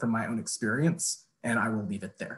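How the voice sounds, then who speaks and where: A man talks with an American accent. His pace is moderate. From US suburb. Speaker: college teacher. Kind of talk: public comment. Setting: video call. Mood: earnest, recounting fear. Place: home room. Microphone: video call.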